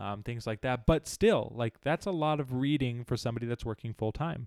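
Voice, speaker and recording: A plain, everyday voice with an American accent shows ordinary pitch variation. The recording is very clean with a silent background and a dry, close sound with no echo. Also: man. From US West (Arizona, Utah). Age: 20s. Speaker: student podcast host. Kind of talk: casual chat.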